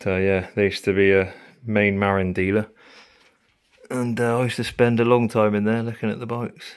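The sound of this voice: At a moderate pace, a man with a fairly low pitch talks in a monotone, flat way, his tone clear and smooth.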